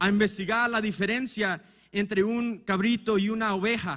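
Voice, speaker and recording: Here a man with a non-native accent speaks at a fairly slow pace. His voice is high, with fairly even intonation. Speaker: preacher. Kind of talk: sermon. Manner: halting.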